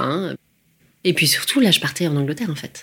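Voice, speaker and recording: Her voice is an unremarkable speaking voice, fairly low for a woman, with lively intonation. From provincial France. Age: 40s. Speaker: life coach. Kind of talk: personal testimony.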